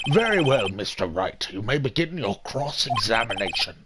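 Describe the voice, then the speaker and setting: Using a put-on character voice, a man of medium pitch swings very widely in pitch. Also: moderate pace. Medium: game stream. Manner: formal, measured.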